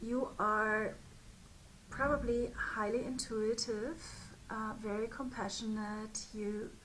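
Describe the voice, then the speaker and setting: A woman's fairly high, somewhat breathy voice in a monotone, flat intonation, with audible room echo. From Germany. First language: German. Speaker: spiritual business mentor. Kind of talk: direct-to-camera talk. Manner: hesitant, with fillers.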